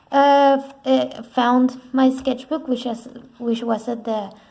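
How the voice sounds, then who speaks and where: A woman with a non-native accent, very slow delivery and fairly even intonation. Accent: foreign. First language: not English. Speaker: artist, art vlogger. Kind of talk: casual narrated sketchbook tour. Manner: halting, with fillers and restarts.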